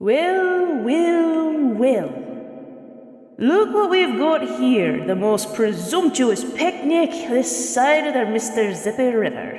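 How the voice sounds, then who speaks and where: A put-on character voice with fairly high pitch speaks at a very slow pace. There is a slight echo. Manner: mocking, teasing.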